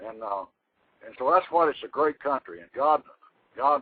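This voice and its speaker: A man with a Texan accent talks at a fairly quick pace with ordinary pitch variation. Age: 70s. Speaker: retired Texas Ranger and author. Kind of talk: interview. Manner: halting.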